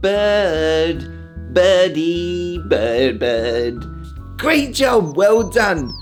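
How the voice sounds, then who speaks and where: A very slow speaker is heard with music playing behind. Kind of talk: children's educational narration. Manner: slow, clear, encouraging.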